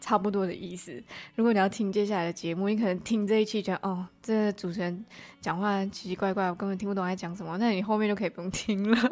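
A woman talks at a very fast pace in a monotone, flat intonation. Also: medium pitch for a woman, very clean recording, silent background. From Malaysia. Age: 20s. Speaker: podcast host. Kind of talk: solo casual monologue. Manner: chatty, with fillers and hesitations.

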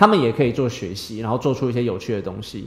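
A man with a Taiwanese accent. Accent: Taiwanese Mandarin. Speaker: engineer and teacher. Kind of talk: interview.

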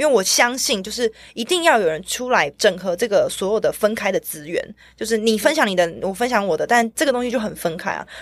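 Someone with a plain, everyday voice speaks at a fairly quick pace. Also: woman, fairly high pitch for a woman, lively intonation. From Taiwan. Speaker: blockchain media creator, former cinematographer. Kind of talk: casual interview chat.

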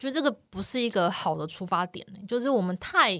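A woman talks at a fairly quick pace with vocal fry, a bright, sharp tone and lively intonation, in a very clean recording with a silent background. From Taiwan. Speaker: wildlife photography podcast host. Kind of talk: casual chat.

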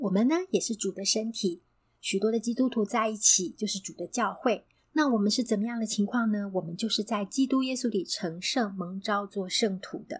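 Here a woman speaks at a moderate pace. Her voice is fairly high and somewhat breathy. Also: ordinary pitch variation, very clean recording, silent background. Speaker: podcast host, Bible devotional. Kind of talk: devotional talk and scripture reading.

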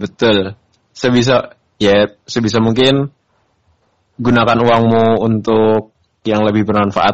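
At a fairly slow pace, a man with a medium pitch speaks in a flat monotone, his loudness very even and broken by long, frequent pauses. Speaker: podcast co-host. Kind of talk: casual chat.

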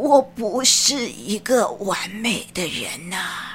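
Over clear background noise, a woman talks with lively intonation. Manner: humble, stammering, sighing.

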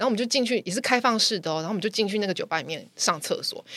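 At a very fast pace, a woman speaks in a bright, sharp tone at a fairly high pitch, in a dry, close recording with no echo. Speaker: podcast guest sharing personal stories. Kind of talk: casual chat, storytelling.

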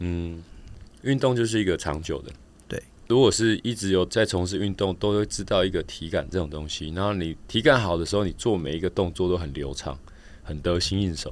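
This man's voice is very deep and low, and he speaks at a fairly quick pace. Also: ordinary pitch variation. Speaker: professional triathlete and coach. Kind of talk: casual interview.

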